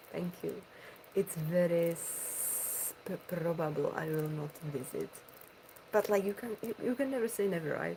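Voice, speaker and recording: Speaking at a fairly slow pace with a Czech accent, a woman uses lively intonation over noticeable background noise. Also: fairly low pitch for a woman. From Czech Republic. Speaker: ASMR streamer. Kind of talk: casual chat.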